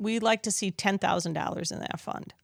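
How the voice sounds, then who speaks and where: Speaking with an American accent at a fairly quick pace, a woman keeps a medium pitch and ordinary pitch variation in a dry, close sound with no echo. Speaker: community foundation executive. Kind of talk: interview conversation. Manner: casual, with fillers and restarts.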